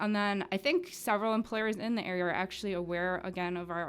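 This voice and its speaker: A woman talks at a fairly quick pace in a flat monotone. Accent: Upper Midwest. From Wisconsin, Wood County. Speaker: criminal justice worker. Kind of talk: radio interview. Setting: studio.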